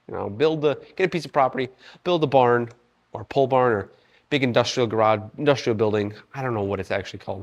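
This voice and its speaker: A man's medium-pitched voice with ordinary pitch variation against a quiet background. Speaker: fitness vlogger. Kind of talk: casual vlog while working out. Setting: gym.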